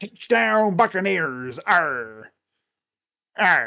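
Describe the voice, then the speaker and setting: A put-on character voice sits at a low-to-middle pitch and makes very wide pitch swings. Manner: gruff, pirate-like.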